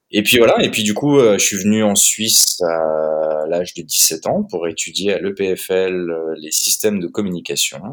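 A man with a very deep, low pitch talks with hardly any pauses. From grew up abroad, Prague. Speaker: company CEO, fintech founder. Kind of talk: interview. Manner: hesitant, many fillers.

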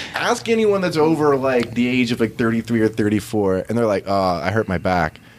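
A man's medium-pitched voice at a fairly quick pace, with lively intonation, hardly any pauses, very even loudness and noticeable background noise. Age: 30s. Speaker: jiu-jitsu coach and gym owner. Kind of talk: casual interview chat.

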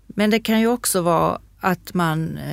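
A woman with a plain, everyday voice speaks at a fairly low pitch with ordinary pitch variation, recorded dry and close with no echo on a very clean recording with a silent background. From Sweden, Skåne. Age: 60s. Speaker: craft shop manager and embroidery teacher. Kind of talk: casual chat. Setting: studio.

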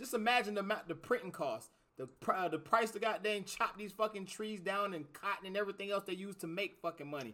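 A man with a high pitch and a bright, sharp tone speaks in a raised, projected voice at a very fast pace, animated in tone with ordinary pitch variation. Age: 30s. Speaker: podcast host. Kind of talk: casual chat.

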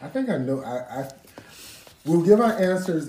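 A man's fairly quick American-accented speech with very wide pitch swings, audible room echo and noticeable background noise. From Columbia, South Carolina. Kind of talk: casual chat with trivia quiz.

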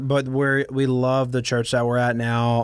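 A man's medium-pitched voice with an American accent, a moderate pace and fairly even intonation. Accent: slight Southern US, fades in California. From Baton Rouge, Louisiana. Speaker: woodworker and former tech worker, student. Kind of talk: casual interview chat.

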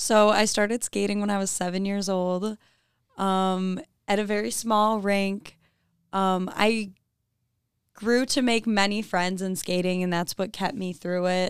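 A woman with an ordinary speaking voice talks at a fairly slow pace and medium pitch, her intonation fairly even. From Michigan, US. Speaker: college student intern, figure skater. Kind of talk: casual interview.

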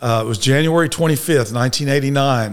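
A man speaks in a Texan accent with ordinary pitch variation. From Dallas, Texas. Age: 60s. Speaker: recovering alcoholic. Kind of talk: testimony.

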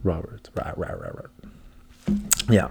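This man talks at a fairly slow speed, his tone dark and mellow and somewhat breathy. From Philippine heritage. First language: English (speaking German). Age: 20s. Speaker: podcast host. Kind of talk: casual monologue. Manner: animated.

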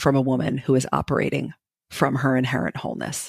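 A woman with an American accent and a very deep, low pitch speaks at a moderate pace with vocal fry, in a dry, close sound with no echo. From New Jersey. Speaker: leadership coach. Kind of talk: interview.

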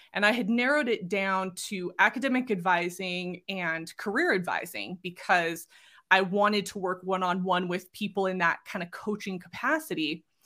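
In a very clean recording with a silent background, a woman with an American accent speaks at a medium pitch in a bright, sharp tone. She keeps a moderate pace with hardly any pauses and ordinary pitch variation. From Southern California. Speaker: career coach. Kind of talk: interview conversation.

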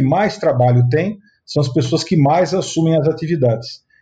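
This man talks at a moderate pace in a fairly high pitch, with a dark, mellow tone and ordinary pitch variation. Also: very even loudness. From Sorocaba, interior of São Paulo state, Brazil. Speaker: state housing official and real estate businessman. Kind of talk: interview.

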